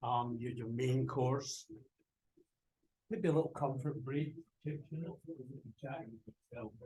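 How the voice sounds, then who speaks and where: A man of medium pitch talks fairly slowly with long, frequent pauses, his dark, mellow, somewhat breathy voice showing ordinary pitch variation and big swings in loudness. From Britain. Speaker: professor. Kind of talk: lecture. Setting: video call.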